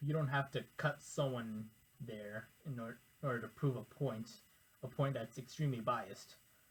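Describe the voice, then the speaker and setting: A man's somewhat breathy voice moves along at a moderate pace. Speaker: educational YouTuber. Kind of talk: informal lecture to camera. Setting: recording alone in front of a camera. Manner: halting, self-correcting.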